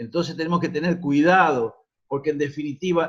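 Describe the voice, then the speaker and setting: A man is speaking. His pitch is high. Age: 60s. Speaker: union activist. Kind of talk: forum contribution.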